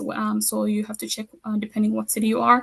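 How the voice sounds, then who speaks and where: A woman speaks fairly quickly in a somewhat breathy, fairly high-pitched voice. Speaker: community program coordinator. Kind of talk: webinar presentation. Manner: fast.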